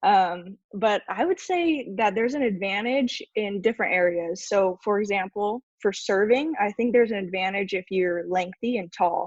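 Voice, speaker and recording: In a plain, everyday voice with an American accent, a woman speaks at medium pitch and a moderate pace with ordinary pitch variation and hardly any pauses, in a dry, close sound with no echo. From California, US. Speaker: roundnet athlete. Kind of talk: casual interview.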